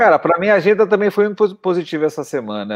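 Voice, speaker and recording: A man is talking. The background is quiet. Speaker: podcast co-host. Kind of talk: casual chat.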